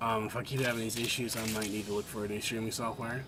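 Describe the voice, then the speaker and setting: A man with audible room echo and noticeable background noise. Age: 20s. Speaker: video game streamer. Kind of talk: gaming livestream chat.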